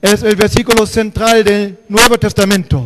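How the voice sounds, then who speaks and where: A man with a German accent speaks at a fairly slow pace in a high pitch, over noticeable background noise. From Germany. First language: German (speaking Spanish). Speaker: pastor. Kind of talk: sermon. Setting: church.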